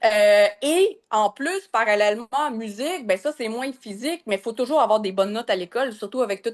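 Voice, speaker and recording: This woman talks at a moderate pace with a fairly high pitch. The sound is dry and close with no echo, over a quiet background. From Quebec, North Shore of Montreal. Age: 40s. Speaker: massage therapist and business coach. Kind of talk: podcast interview. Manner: hesitant, many fillers.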